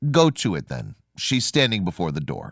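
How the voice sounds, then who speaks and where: A man's put-on character voice, fairly low in pitch, with very wide pitch swings at a moderate pace. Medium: read story. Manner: brief, matter-of-fact.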